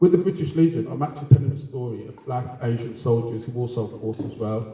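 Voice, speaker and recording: Speaking very fast, a man is heard with audible room echo and noticeable background noise. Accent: Birmingham. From Birmingham, England. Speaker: heritage organisation co-founder, community engagement officer. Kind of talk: panel talk at a lecture event.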